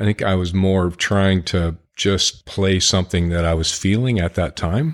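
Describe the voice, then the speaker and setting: On a very clean recording with a silent background, a man with an American accent and a very deep, low pitch speaks at a moderate pace. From Ontario, Canada (Sarnia, near Detroit). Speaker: bluegrass harmonica player. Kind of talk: casual chat.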